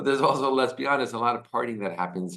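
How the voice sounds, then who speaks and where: A man's bright, sharp voice with lively intonation and an American accent. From United States. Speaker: video host explaining Israeli society. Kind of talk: casual explainer monologue.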